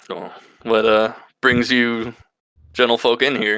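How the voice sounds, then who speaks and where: Putting on a gruff character voice, a man speaks at a fairly slow pace with a medium pitch and monotone, flat intonation. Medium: actual play. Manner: folksy, hesitant.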